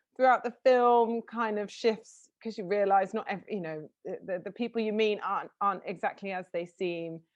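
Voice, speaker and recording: With hardly any pauses, a woman speaks at a moderate pace in a medium pitch. Her pitch varies in an ordinary way, and the background is quiet. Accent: southern English. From southern England. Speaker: interviewer. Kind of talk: interview.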